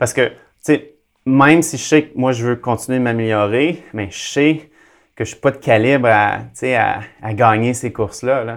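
A man at medium pitch with ordinary pitch variation, a fairly slow pace, long, frequent pauses and big swings in loudness, in a very clean recording with a silent background. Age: 40s. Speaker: athlete and speaker. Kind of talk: interview. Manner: halting.

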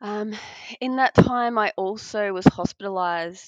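In an Australian accent, a woman talks at a fairly slow pace with lively intonation. The sound is dry and close with no echo, over a quiet background. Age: 30s. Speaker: adoptive mother and IVF patient. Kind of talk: interview.

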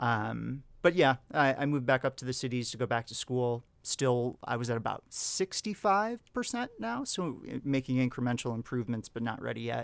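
A man's unremarkable speaking voice at medium pitch, moderate pace, on a very clean recording with a silent background. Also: ordinary pitch variation. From Wisconsin, US. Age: 30s. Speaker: English teacher. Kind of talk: casual chat.

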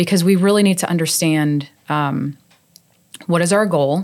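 The recording is very clean, with a silent background. It carries a plain, everyday voice with ordinary pitch variation. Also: woman. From New York. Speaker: business administrator. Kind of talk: casual interview.

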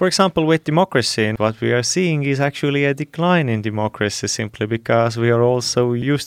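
Recorded dry and close with no echo, a man speaks at medium pitch with ordinary pitch variation. His pace is fairly quick, and the recording is very clean against a silent background. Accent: Estonian. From Estonia. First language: Estonian. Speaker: youth council board member. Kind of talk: panel discussion. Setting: studio.

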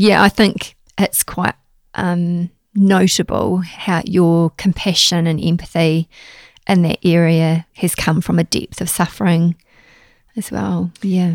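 In a New Zealand accent, a woman with a fairly low pitch speaks at a very slow pace in a monotone, flat intonation, with a dry, close sound and no echo. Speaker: podcast host. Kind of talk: casual interview chat.

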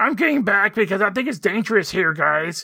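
The voice is a put-on character voice with a fairly high pitch. It moves at a fairly quick pace. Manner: silly, put-on.

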